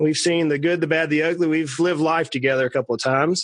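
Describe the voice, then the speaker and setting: Speaking with a South Georgia accent, a man has a fairly high pitch. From US South, South Georgia. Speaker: podcast host, financial planner. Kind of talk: interview.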